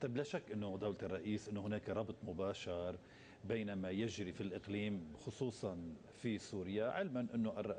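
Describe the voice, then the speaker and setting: A man talks at a moderate pace with a fairly low pitch, a dark, mellow tone and ordinary pitch variation. His loudness stays very even over light background noise. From Lebanon. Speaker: TV interviewer. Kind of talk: political interview. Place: studio. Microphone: lapel.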